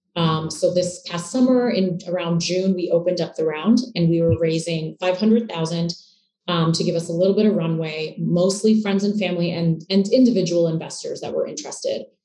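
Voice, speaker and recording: A woman with a Canadian accent speaks at a fairly quick pace in a fairly low, dark, mellow voice that is somewhat breathy, with ordinary pitch variation. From Canada, Toronto. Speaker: startup co-founder. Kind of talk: interview.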